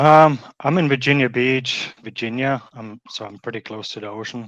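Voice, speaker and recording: A man with a medium-pitched voice is heard against a quiet background. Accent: German. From Germany. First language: German. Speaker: pet waste removal business owner. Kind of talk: interview.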